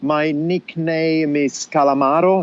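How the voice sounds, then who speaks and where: A man speaks with an Italian accent. There is noticeable background noise. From southern Italy. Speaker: podcast guest, cyclist and podcaster. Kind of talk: casual interview chat.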